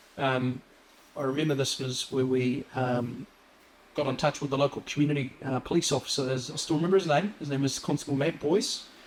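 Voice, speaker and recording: Speaking with a New Zealand accent at a fairly quick pace, a man uses a fairly high pitch and fairly even intonation. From New Zealand, Wellington (arrived as young refugee). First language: Assyrian. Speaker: police officer. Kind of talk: interview. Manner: hesitant, many fillers.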